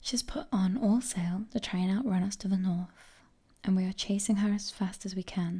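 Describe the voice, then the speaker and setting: Somewhat breathy and dark, mellow in tone, a woman speaks at a moderate pace in a medium pitch with fairly even intonation. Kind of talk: whispered ASMR book reading. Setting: close microphone, audible breathing. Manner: soft, whispered, cozy.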